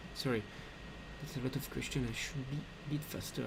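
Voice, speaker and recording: Speaking at a moderate pace with fairly even intonation, a man uses a medium pitch in a recording with audible room echo. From France. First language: French. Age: 20s. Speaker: 3D artist and game developer. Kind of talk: live Q&A stream. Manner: halting, many fillers.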